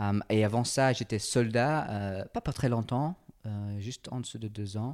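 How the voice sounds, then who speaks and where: In a very clean recording with a silent background, a man with an English accent talks at a fairly slow pace with ordinary pitch variation. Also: medium pitch for a man. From England. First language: English (speaking French). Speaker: personal trainer and entrepreneur. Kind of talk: interview conversation. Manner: halting.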